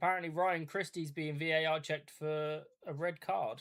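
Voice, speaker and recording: Using a monotone, flat intonation, a man with an English accent speaks at a fairly high pitch. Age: 30s. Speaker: football watch-along streamer. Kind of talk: live commentary. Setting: live stream.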